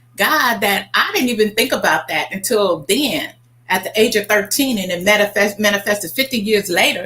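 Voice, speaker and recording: A voice with an American accent speaks at a moderate pace, with ordinary pitch variation. Noticeable background noise can be heard. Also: woman, medium pitch for a woman. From Oklahoma and Kansas, US. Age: 60s. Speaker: travel agency owner. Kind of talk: casual interview chat.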